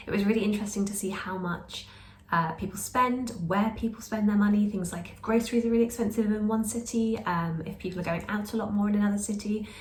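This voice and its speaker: Amid noticeable background noise and audible room echo, a woman with a British accent and a medium pitch speaks very fast with fairly even intonation and big swings in loudness. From Britain. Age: 20s. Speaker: lifestyle vlogger. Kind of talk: casual vlog talk.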